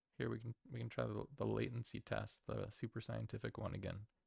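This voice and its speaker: The speaker mumbles at a moderate pace, with vocal fry and very wide pitch swings. The sound is dry and close, with no echo. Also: man. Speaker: streamer opening trading cards. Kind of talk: live stream product opening. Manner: mumbling; halting, many fillers.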